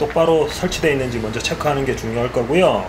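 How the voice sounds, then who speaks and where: A man talks with lively intonation. There's audible room echo and noticeable background noise. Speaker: DJ tutorial creator. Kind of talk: tutorial.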